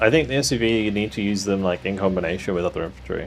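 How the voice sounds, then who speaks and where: Music plays in the background as a man speaks at a very fast pace. His voice is fairly low, with ordinary pitch variation. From southern England. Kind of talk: casual, gamer talk.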